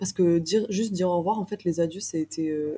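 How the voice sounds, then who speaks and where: Talking at a very fast pace, a woman has a fairly low pitch, ordinary pitch variation, and a dark, mellow, somewhat breathy tone. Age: 20s. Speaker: traveller. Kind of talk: interview. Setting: hostel common room.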